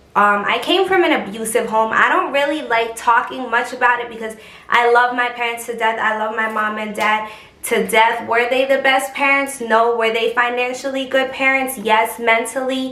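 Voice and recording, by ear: With audible room echo around her, a woman speaks at a moderate pace, fairly high in pitch, in a bright, sharp tone with fairly even intonation.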